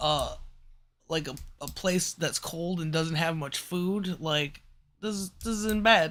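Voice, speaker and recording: Speaking at a very slow pace with long, frequent pauses, a man has a high pitch and a bright, sharp tone. His pitch varies in an ordinary way on a very clean recording with a silent background. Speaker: live streamer. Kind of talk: casual chat. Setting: live stream. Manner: slurred, rambling delivery.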